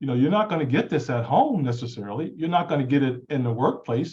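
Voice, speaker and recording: Somewhat breathy, a man with a fairly high pitch talks at a very fast pace with ordinary pitch variation. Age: 60s. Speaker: talk show co-host. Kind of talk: panel discussion.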